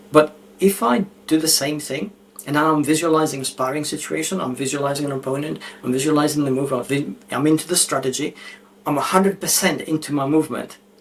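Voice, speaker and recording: At a very fast pace, a man speaks at a fairly high pitch with fairly even intonation over noticeable background noise. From Australia. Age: 60s. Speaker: author and cognitive science expert. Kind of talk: podcast interview.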